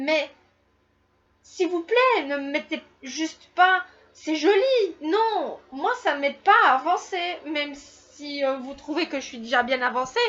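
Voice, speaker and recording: A woman's high voice with lively intonation, a very slow pace, and big swings in loudness. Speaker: YouTuber. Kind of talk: casual Q&A vlog. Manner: hesitant, many fillers.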